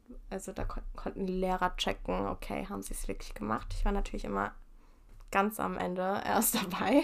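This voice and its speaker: In a very clean recording against total silence, the words come at a moderate rate. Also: woman. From Japan (Tokyo) and Germany. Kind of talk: casual chat.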